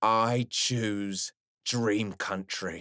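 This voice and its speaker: A put-on character voice from a man, growling at medium pitch in an intense, angry tone, on a very clean recording with a silent background. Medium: read story.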